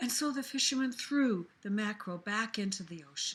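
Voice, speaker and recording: A woman puts on a character voice at a fairly high pitch. She keeps a moderate pace. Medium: read story.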